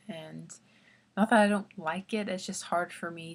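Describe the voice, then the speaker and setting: A quiet voice with an American accent and vocal fry, at a moderate pace with ordinary pitch variation. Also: woman. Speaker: vlogger. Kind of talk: casual vlog talk. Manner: halting, many fillers.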